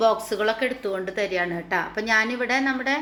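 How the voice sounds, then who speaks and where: Fairly high-pitched speech from a woman, fairly even in intonation, against noticeable background noise. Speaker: home vlogger. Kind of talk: casual vlog narration.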